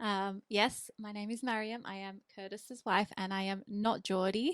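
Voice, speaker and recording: A woman with an Australian accent talks at a moderate pace. Her intonation stays fairly even while her loudness swings widely. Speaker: charity admin worker and podcast guest. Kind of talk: casual chat.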